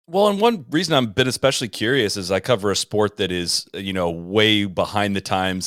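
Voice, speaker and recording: In a very clean recording with a silent background and a dry, close sound with no echo, a man with fairly low pitch speaks at a fairly quick pace in a normal speaking voice. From Ohio (Columbus). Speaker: golf podcast host. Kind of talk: casual interview.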